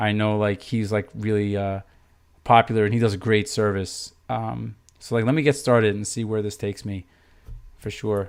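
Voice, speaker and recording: This man has a normal speaking voice at a medium pitch. The recording is very clean, with a silent background. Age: 30s. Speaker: math teacher. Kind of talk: livestream tutorial. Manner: casual, filler-heavy.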